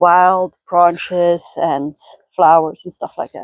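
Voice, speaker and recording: A woman with a Dutch accent speaks at a fairly low pitch and a fairly slow pace. The sound is dry and close, with no echo. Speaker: lifestyle vlogger. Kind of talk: casual vlog narration. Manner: halting.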